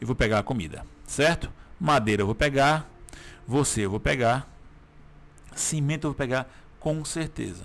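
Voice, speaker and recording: This man speaks at a medium pitch with vocal fry, ordinary pitch variation, and long, frequent pauses. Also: moderate pace. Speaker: gaming YouTuber. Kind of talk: gameplay commentary. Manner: casual, filler-heavy.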